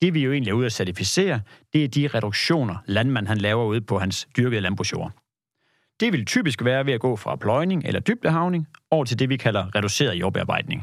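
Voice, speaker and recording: A man with a plain, everyday voice and a medium pitch talks at a fairly quick pace with lively intonation, on a very clean recording with a silent background. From Jutland, Denmark. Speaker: agricultural carbon certification consultant. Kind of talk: podcast interview. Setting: studio.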